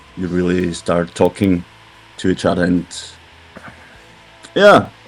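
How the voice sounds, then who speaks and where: Noticeable background noise is present. Over it, a man talks with a very deep, low pitch. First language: German. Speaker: metal band member. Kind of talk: interview. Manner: halting.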